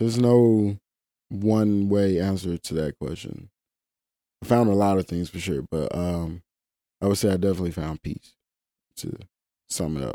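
A very deep, low male voice in a Mississippi accent, dark and mellow in tone, with ordinary pitch variation, a moderate pace and long, frequent pauses, in a very clean recording with a silent background and a dry, close sound with no echo. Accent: US South, Mississippi. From Mississippi Delta. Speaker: climbing coach and route setter. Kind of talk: casual interview.

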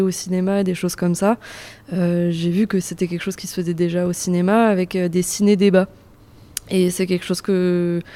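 Noticeable background noise sits under a woman's medium-pitched voice. She speaks at a moderate pace with monotone, flat intonation. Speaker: civic service volunteer. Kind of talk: interview. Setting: cinema lobby.

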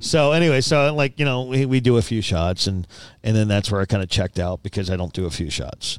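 This man has a fairly low pitch and speaks at a very fast pace. The recording is very clean, with a silent background. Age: 40s. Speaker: production company owner. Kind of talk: casual chat.

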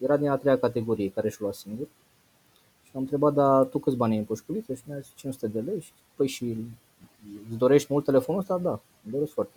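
Very fast speech from a man, medium-pitched with a dark, mellow tone, ordinary pitch variation and big swings in loudness. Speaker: financial education trainer. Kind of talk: interview.

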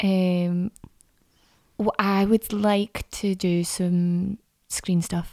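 A woman's medium-pitched, dark, mellow voice, monotone and flat, at a very slow pace with long, frequent pauses, in a dry, close sound with no echo. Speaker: actress. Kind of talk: casual chat.

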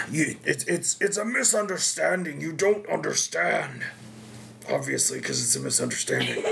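A man's raspy, put-on character voice at a moderate pace, with clear background noise. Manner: desperate, pleading.

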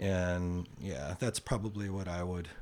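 Intonation stays fairly even while the delivery holds a moderate speed. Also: man, very clean recording, silent background. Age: 60s. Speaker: podcast guest, host's uncle. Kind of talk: casual chat. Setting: in person, face to face.

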